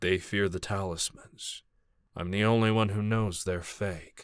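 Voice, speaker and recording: In a soft-spoken, put-on character voice, a man with a fairly low pitch is heard on a very clean recording with a silent background. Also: moderate pace. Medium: audio drama. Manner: calm, soft-spoken, reassuring.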